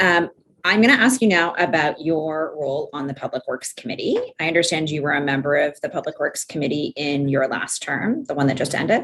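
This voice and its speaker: Lively in intonation, a woman with a very deep, low pitch speaks at a fairly quick pace. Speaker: inquiry counsel. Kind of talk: formal questioning at inquiry. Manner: fast.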